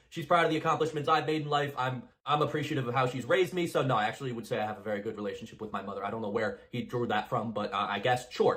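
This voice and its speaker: A man speaking very fast over noticeable background noise. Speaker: college student and commentary YouTuber. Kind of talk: recorded response commentary video.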